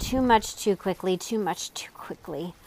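A woman puts on a character voice at a medium pitch. Her pace is moderate. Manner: repeating the words between gulps.

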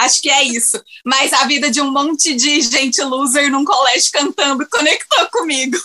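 Using a raised, projected voice at very even loudness, a woman speaks at a moderate pace with a high pitch and ordinary pitch variation. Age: 20s. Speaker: podcast guest, series fan. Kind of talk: casual chat.

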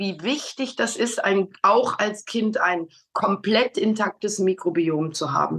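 A woman talks at a very slow pace. Her intonation is lively. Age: 60s. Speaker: customer sharing health story. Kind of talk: testimonial interview. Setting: video call.

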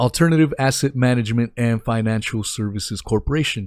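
A man with a plain, everyday voice talks at a fairly quick pace in a medium pitch with ordinary pitch variation, the sound dry and close with no echo. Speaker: livestream podcast host. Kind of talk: casual livestream chat. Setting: live stream online.

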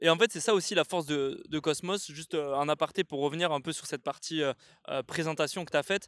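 The sound is dry and close with no echo as a man speaks at a fairly quick pace with a fairly high pitch and ordinary pitch variation. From southern France, Catalan area (Canet-Plage). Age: 20s. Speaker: video agency co-founder, podcast co-host. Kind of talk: casual chat. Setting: outdoors.

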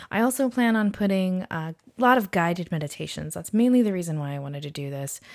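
A woman's very fast, medium-pitched speech with very wide pitch swings and a Californian accent, on a very clean recording with a silent background. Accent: Californian American. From San Diego, California. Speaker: podcast host, registered nurse and meditation teacher. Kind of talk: casual monologue. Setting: solo recording at a microphone. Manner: hesitant, many fillers.

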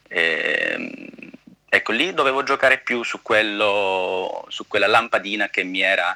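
A man is speaking. His pace is fairly slow. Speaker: actor. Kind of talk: interview.

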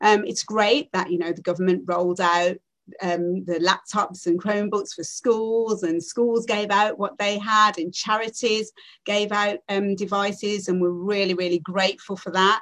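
A woman with an unremarkable speaking voice, medium pitch, fairly even intonation and a moderate pace. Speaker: primary head teacher. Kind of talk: panel discussion.

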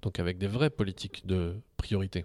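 The man has an ordinary speaking voice, fairly low in pitch, and speaks at a fairly slow pace in a dry, close, echo-free recording that is very clean with a silent background. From Algeria, then Paris suburbs. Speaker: philosophy teacher and local politician. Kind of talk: casual interview.

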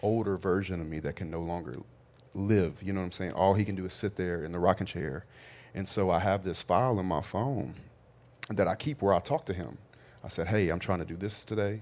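In a Louisiana accent, a man speaks with a very deep, low pitch and ordinary pitch variation. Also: very clean recording, silent background. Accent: Southern US (Louisiana). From US South, Louisiana. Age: 30s. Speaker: real estate and construction entrepreneur. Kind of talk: casual chat.

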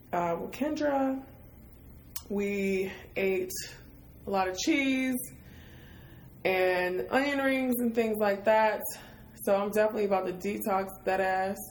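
Using an American accent, a woman speaks at a fairly slow pace with long, frequent pauses. Her pitch is medium, with ordinary variation. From Michigan, US. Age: 30s. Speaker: podcast host, artist. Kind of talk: casual chat. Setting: hotel room.

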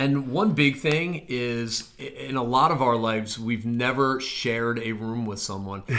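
With noticeable background noise behind him, a man at medium pitch talks at a fairly slow pace with ordinary pitch variation and hardly any pauses. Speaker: admissions officer podcast host. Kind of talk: casual chat.

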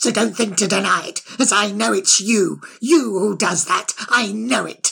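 A fairly high pitch marks this put-on character voice. The delivery is fairly slow. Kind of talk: audiobook character voice. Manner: manic, rambling, spiteful, insulting, repeating itself; sly, mocking.

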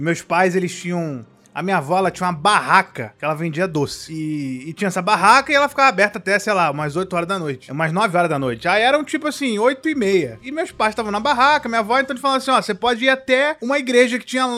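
Bright and sharp in tone, a man's raised, projected voice races at a very fast pace with hardly any pauses, high in pitch and swinging very widely up and down. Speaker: podcast host. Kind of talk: casual chat.

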